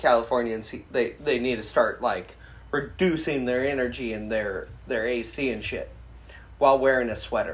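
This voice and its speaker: A man talks at a medium pitch while the room audibly echoes his words. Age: 30s. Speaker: podcast co-host. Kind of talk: casual chat.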